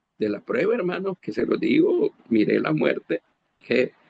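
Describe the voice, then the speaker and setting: The sound is dry and close with no echo. A man talks at a moderate pace. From Honduras. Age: 60s. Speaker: preacher. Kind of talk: sermon. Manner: halting, with frequent repetitions.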